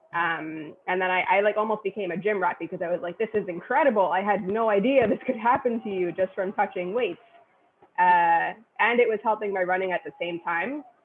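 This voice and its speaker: A woman with an American accent talks at a fairly quick pace in a medium pitch. It is a normal speaking voice with ordinary pitch variation. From New York City, Queens. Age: 30s. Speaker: personal trainer. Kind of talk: interview.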